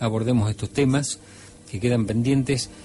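With ordinary pitch variation, the man speaks at a medium pitch. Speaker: radio host and ufologist. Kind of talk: radio talk show.

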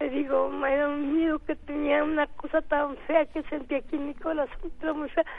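Over music in the background, a woman with a high pitch speaks at a moderate pace in a flat monotone, with hardly any pauses. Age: 80s+. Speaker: caller. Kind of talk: phone testimony.

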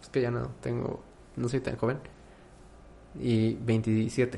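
Here a man of medium pitch speaks with fairly even intonation. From Mexico. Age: 20s. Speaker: podcast host. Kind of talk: casual chat.

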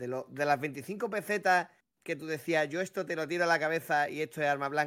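On a very clean recording with a silent background, a man with a plain, everyday voice and fairly high pitch speaks at a fairly quick pace with ordinary pitch variation. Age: 30s. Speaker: podcast co-host. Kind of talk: casual chat.

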